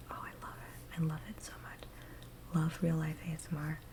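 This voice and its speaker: A woman is whispering. Her pace is moderate. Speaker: ASMR creator. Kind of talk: ASMR casual talk to camera. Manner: soft-spoken.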